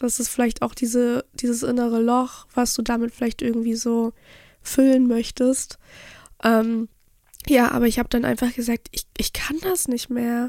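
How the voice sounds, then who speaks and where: A woman speaks at a moderate pace in a high pitch with a dark, mellow tone. Her intonation is monotone and flat. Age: 20s. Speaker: content creator. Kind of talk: casual chat.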